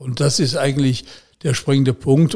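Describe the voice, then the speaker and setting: A man talks at a medium pitch. His tone is dark and mellow and somewhat breathy. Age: 80s+. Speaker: retired politician and former police detective. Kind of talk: interview.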